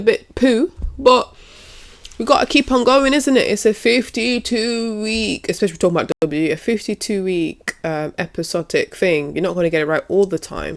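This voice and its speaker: A woman speaks at a moderate pace with a British accent. Her pitch swings very widely. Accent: UK. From UK. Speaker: wrestling commentator and YouTuber. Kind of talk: casual vlog commentary. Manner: hesitant, with fillers and restarts.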